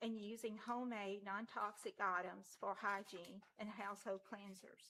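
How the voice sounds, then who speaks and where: Bright, sharp tone at a fairly slow pace, with monotone, flat intonation. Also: woman. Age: 60s. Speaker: member of the public speaking at meeting. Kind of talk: public comment, prepared statement. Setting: city council meeting. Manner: formal.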